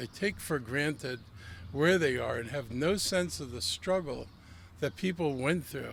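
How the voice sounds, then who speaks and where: A man speaks at a fairly high pitch with vocal fry and a moderate pace. His pitch swings very widely. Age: 70s. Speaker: county official speaking at ceremony. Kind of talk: ceremony speech.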